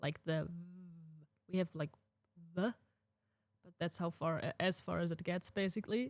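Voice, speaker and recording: Speaking with a German accent at a fairly slow pace, this voice keeps a fairly even intonation, takes long, frequent pauses and swings widely in loudness. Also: woman. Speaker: podcast co-host. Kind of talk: casual chat.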